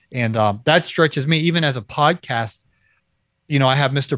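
Speaking fairly quickly in a Midwestern American accent, a man shows ordinary pitch variation in a dry, close sound with no echo. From Ohio, Kent/Akron area. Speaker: podcast host and author. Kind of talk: casual chat. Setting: video call.

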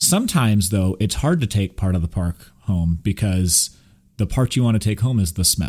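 On a very clean recording with a silent background, a man speaks at a moderate pace in a fairly low, somewhat breathy voice with very even loudness and ordinary pitch variation. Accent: American. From Texas. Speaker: podcast host. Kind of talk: casual chat.

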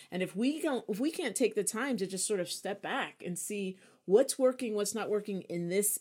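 A woman with a normal speaking voice talks in an American accent at a fairly high pitch with ordinary pitch variation, on a very clean recording with a silent background. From New York. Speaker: podcast co-host and writer. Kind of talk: casual chat.

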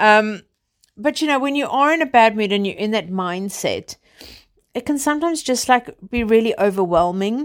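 A woman speaks at a moderate pace with a South African accent. Her voice sits fairly high and her intonation is lively. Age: 30s. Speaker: podcast host. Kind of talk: casual chat. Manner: informal, chatty.

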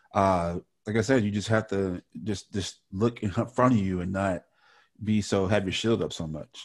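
Against a quiet background, a man with an ordinary speaking voice talks at a moderate pace, his pitch fairly low and his intonation fairly even. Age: young. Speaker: podcast host. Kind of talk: casual chat.

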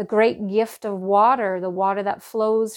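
A woman with a normal speaking voice talks at a fairly slow pace. Her intonation is fairly even. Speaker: meditation teacher. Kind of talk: guided meditation. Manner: slow, calm and soothing, with gentle instructive pacing; warm, nurturing, soft-spoken.

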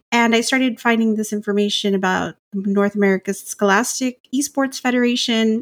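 In a very clean recording with a silent background and a dry, close sound with no echo, a woman with an unremarkable speaking voice talks at a fairly quick pace with fairly even intonation. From US South, Rio Grande Valley, Texas. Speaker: school librarian. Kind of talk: interview conversation.

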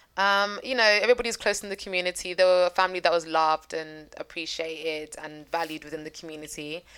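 A woman with a London accent talks very fast with hardly any pauses, her loudness swinging widely. Her pitch is fairly low, with ordinary variation. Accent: London, Multicultural London English. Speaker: true crime podcast host. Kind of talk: storytelling.

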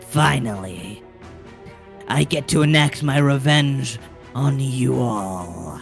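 A man uses a put-on character voice at a medium pitch and a very slow pace. Clear music plays in the background. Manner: menacing, vengeful.

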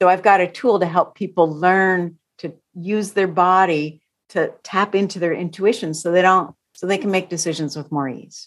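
On a very clean recording with a silent background, a woman with a plain, everyday voice speaks at a moderate pace and medium pitch, her intonation fairly even. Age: 50s. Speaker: therapist. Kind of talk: casual chat.

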